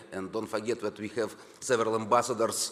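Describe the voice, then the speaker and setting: A man with a Russian accent and fairly low pitch. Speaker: government deputy minister. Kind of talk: conference speech. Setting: conference hall. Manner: halting.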